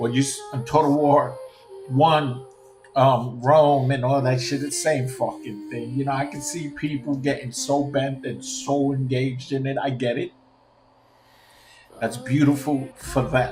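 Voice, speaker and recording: In a New York accent, the speaker talks fairly slowly with monotone, flat intonation, amid audible room echo and noticeable background noise. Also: man, fairly high pitch for a man. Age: 50s. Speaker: gaming streamer. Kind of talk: casual rant.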